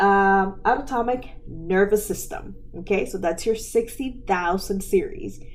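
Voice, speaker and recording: A very slow pace with audible room echo. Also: woman. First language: not English. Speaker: medical coding educator, podcast host. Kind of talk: educational podcast lecture. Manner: conversational, with filler words.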